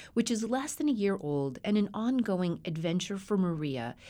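A woman with an American accent speaks at a moderate pace in a medium pitch, her dark, mellow tone ranging through very wide pitch swings, on a very clean recording with a silent background. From Colorado. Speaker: radio host. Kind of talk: radio interview and scripted narration.

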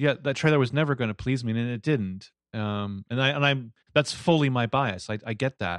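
A man with an ordinary speaking voice, medium pitch and ordinary pitch variation, at a moderate pace, in a dry, close sound with no echo over a quiet background. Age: 30s. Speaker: podcast co-host. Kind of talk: casual chat.

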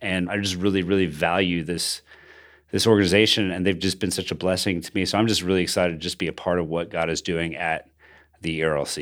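A man talks at a very fast pace with a very deep, low pitch and fairly even intonation. The recording is very clean, with a silent background. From Bogota, Colombia. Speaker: pastor and podcast co-host. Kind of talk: casual interview conversation.

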